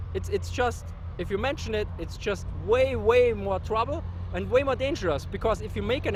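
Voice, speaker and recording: A man speaks at a fairly quick pace with a German accent, and room echo can be heard. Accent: German-speaking. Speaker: history YouTuber. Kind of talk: casual interview. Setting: outdoors at a tank show. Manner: halting, repeats words.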